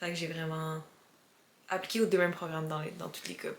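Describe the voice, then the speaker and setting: A woman with a Quebec accent, very deep and low in pitch, with monotone, flat intonation and noticeable background noise. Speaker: vlogger. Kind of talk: casual vlog talk.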